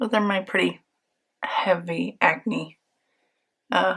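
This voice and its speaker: With vocal fry and a bright, sharp tone, a woman talks at a medium pitch. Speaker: beauty vlogger. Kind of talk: makeup tutorial. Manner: casual, filler-heavy.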